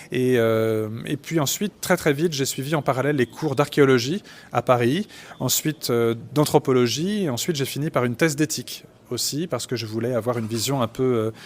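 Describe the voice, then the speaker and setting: A man at a medium pitch and a moderate pace. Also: ordinary pitch variation. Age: 40s. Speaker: forensic doctor and anthropologist. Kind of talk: interview. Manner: halting, many fillers.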